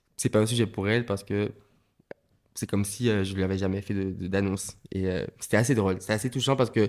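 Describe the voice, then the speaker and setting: With a Martinican accent, the speaker talks at a very fast pace with fairly even intonation. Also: man, fairly low pitch for a man. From Martinique. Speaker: comedian and voguing dancer. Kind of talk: podcast interview. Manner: halting, many repetitions and fillers.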